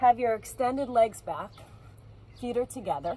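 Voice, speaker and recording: The pace is moderate. There is light background noise and a dry sound with no echo. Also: woman. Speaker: fitness instructor. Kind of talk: workout instruction. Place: waterside. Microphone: camera far.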